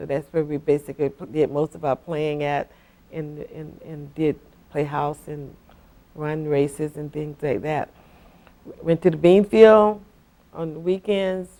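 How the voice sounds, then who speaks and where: The speaker goes at a fairly slow pace with long, frequent pauses, ordinary pitch variation and big swings in loudness. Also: woman, very deep, low pitch for a woman. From South Florida (Deerfield Beach). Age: 60s. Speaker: longtime local resident. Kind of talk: oral history interview. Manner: halting, with frequent fillers and restarts.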